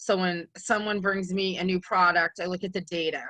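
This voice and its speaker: A woman with a New England accent, a bright, sharp tone and a fairly quick pace, over a quiet background. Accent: New England (Boston-type). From New England, Massachusetts. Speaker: microbiologist and cleaning consultant. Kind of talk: webinar presentation. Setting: virtual conference session. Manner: casual, many filler ums.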